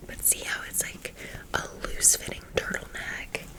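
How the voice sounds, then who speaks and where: The speaker is a woman, whispering. Background noise is noticeable. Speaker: ASMR creator. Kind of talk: casual haul talk to camera, ASMR. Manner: friendly, chatty.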